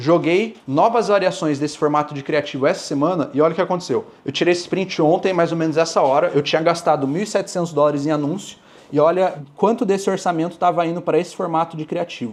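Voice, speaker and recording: Here a man speaks in a high pitch with ordinary pitch variation. His pace is fairly quick, with hardly any pauses. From Brazil. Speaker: dropshipping mentor. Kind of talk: talk to audience.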